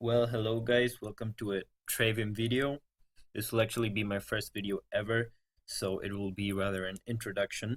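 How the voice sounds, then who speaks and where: The speaker has a non-native accent and monotone, flat intonation. The recording is very clean, with a silent background. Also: man, medium pitch for a man, moderate pace, dry, close sound with no echo. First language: not English. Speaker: gaming video creator. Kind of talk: gameplay commentary.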